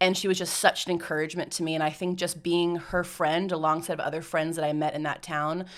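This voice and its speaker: A woman with an American accent has an unremarkable speaking voice, fairly low in pitch with fairly even intonation, on a very clean recording with a silent background. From United States. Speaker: mission organisation staff member. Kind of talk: podcast interview. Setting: studio.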